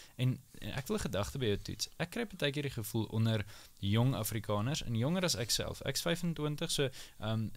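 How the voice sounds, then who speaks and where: With ordinary pitch variation, a man talks in a plain, everyday voice on a very clean recording with a silent background. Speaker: podcast host. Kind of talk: panel discussion. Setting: studio.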